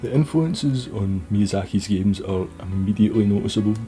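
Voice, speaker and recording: Music plays in the background. A man talks at a moderate pace with a fairly low pitch. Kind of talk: casual video essay narration.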